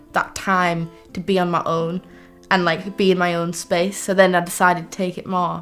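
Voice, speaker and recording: Music plays behind a woman speaking at medium pitch. Her intonation is monotone and flat. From Teesside, north-east England. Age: young. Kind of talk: personal documentary testimony. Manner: casual, reflective.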